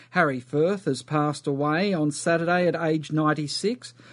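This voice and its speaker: A man with an Australian accent talks fairly slowly at a fairly high pitch. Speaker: radio host. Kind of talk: news reading.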